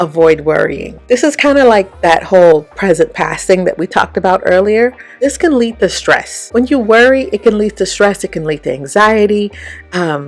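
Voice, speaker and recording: Against noticeable background noise, a woman with a medium pitch speaks at a moderate pace, her tone animated and her intonation lively. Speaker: branding coach. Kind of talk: motivational talk to camera.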